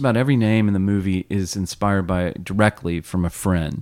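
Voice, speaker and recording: A man with an American accent speaks at a moderate pace in a very clean recording with a silent background. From US South, South Carolina. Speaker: filmmaker. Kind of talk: interview conversation. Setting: chapel.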